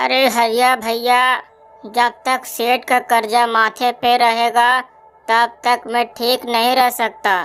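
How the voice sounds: A woman uses a cartoonish character voice with a high pitch and monotone, flat intonation. She speaks very slowly at a very even loudness, with faint music in the background.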